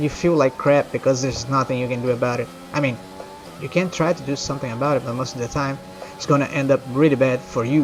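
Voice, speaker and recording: Over music in the background, a man with a Brazilian accent talks at a very fast pace, with a medium pitch and ordinary pitch variation. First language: Portuguese. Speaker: video game streamer. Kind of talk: live gameplay commentary, casual chat.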